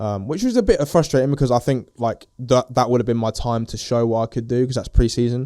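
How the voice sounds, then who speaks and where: Speaking very fast in an English accent, a man has a medium pitch, fairly even intonation and a dark, mellow tone, on a very clean recording with a silent background. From England. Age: 20s. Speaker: professional footballer. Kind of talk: casual interview. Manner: hesitant, many fillers.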